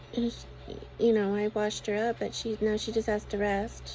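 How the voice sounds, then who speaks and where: A soft-spoken woman talks at a moderate pace. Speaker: religious vlogger. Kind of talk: personal video monologue. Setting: bedroom at home. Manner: halting.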